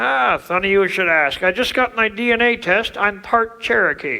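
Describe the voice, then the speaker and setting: A cartoonish character voice, pitched fairly high, speaks at a moderate pace over light background noise. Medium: puppet show. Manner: deadpan, punning.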